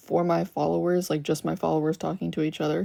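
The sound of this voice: With vocal fry and a dark, mellow tone, a woman talks at a moderate pace in fairly even intonation.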